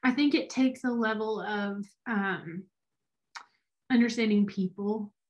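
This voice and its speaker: A woman talks at a medium pitch with fairly even intonation. Her voice is somewhat breathy. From Alabama, small town. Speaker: business consultant. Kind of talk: casual interview.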